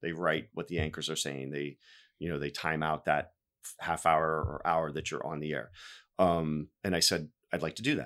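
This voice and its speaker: With vocal fry and a very deep, low pitch, a man speaks at a moderate pace on a very clean recording with a silent background. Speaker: TV news producer. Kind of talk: casual chat. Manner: subdued.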